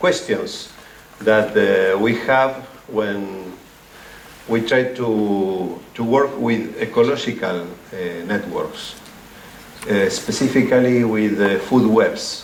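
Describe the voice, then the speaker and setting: This man speaks at a very slow pace in a medium pitch with ordinary pitch variation. The recording carries noticeable background noise and audible room echo. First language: Spanish. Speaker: ecology researcher. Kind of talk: academic talk. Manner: halting, many fillers.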